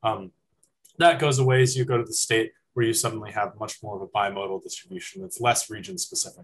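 Speaking very fast in an American accent, a man with a medium-pitched, somewhat breathy voice uses lively intonation. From California, San Francisco Bay Area. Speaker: university student. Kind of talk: student presentation.

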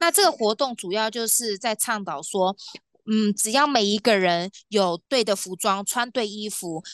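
A woman with an ordinary speaking voice, fairly high pitch and ordinary pitch variation, at a fairly slow pace, in a dry, close sound with no echo against a quiet background. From Taiwan, New Taipei. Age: 30s. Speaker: polar tour guide. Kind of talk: interview.

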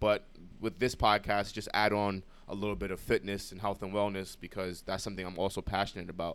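A man with a New York accent speaks fairly fast at a fairly low pitch, his delivery flat and monotone. The recording is very clean with a silent background. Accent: New York City. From New York City (Brooklyn, Bronx). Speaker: podcast co-host, college student. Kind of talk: casual chat.

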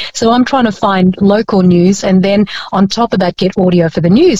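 In an Australian accent, a woman talks at a moderate pace with a somewhat breathy, dark, mellow tone, recorded dry and close with no echo. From Philippines.

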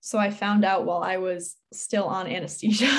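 Talking at a moderate pace, a woman with an unremarkable speaking voice and medium pitch has an American accent. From Connecticut, US. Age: young. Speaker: college student athlete. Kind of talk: interview.

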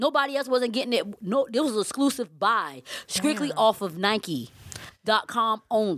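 A woman with a Southern US accent, fairly high pitch and vocal fry, at a moderate pace with lively intonation and hardly any pauses. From Savannah, Georgia.

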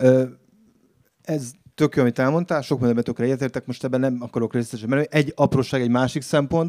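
A man talks at a very fast pace in a dark, mellow tone. His intonation is fairly even, and the sound is dry and close with no echo. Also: medium pitch for a man. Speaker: writer. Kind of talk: reading aloud.

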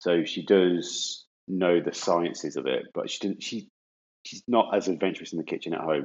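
A man talks with an English accent. His pace is fairly quick. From England. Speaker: podcast co-host. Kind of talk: casual chat.

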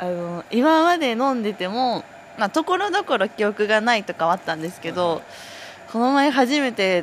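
A woman speaks at a moderate pace with very wide pitch swings. Noticeable background noise runs under her voice. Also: fairly high pitch for a woman. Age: 20s. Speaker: dairy herd testing technician. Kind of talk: casual chat. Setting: outdoors near a cowshed.

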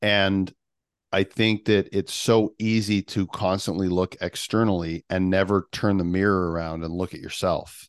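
A man with an unremarkable speaking voice and fairly low pitch talks at a fairly slow pace with fairly even intonation, in a dry, close sound with no echo and a quiet background. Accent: Canadian. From Canada. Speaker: mental performance coach. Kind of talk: podcast interview.

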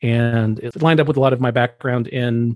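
In a dry, close sound with no echo, a man speaks with an American accent at medium pitch. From US South, Atlanta, Georgia. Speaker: coworker, former college ministry worker. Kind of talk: casual chat.

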